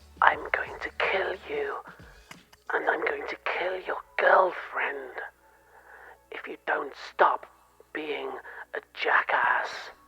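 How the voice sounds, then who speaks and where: In a put-on character voice, the speaker whispers at a very slow pace. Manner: threatening, creepy.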